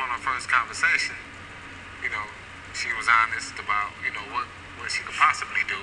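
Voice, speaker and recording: A man at a fairly quick pace with long, frequent pauses, amid noticeable background noise. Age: 30s. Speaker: exonerated former prisoner. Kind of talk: interview answer. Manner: casual, laid-back.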